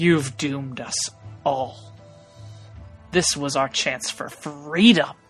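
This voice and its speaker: A man does a put-on character voice at a fairly high pitch, speaking at a fairly slow pace. Hissing and faint music sit in the background. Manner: hissing, accusatory, angry.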